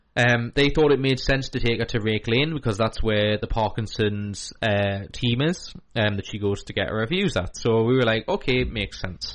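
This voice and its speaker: This man has an unremarkable speaking voice at a medium pitch, talking at a moderate pace with ordinary pitch variation. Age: 30s. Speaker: community radio host of a mental health show. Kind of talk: casual radio chat. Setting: radio studio.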